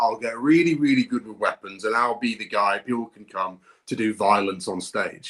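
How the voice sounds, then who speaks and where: The speaker talks with a British accent. The pace is moderate. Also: man. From northern England. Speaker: actor and motion capture performer. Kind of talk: interview.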